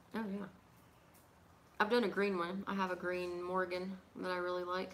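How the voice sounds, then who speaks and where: In a room with audible echo, a woman mumbles at a medium pitch with monotone, flat intonation. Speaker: pipe crafter and livestream host. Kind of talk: casual livestream chat. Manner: mumbling; fast.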